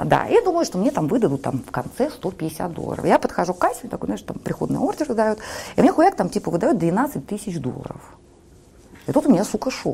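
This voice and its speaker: Her fairly high voice moves at a fairly quick pace as this woman makes very wide pitch swings. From Saint Petersburg, Russia. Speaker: entrepreneur and food blogger. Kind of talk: casual interview. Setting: TV studio.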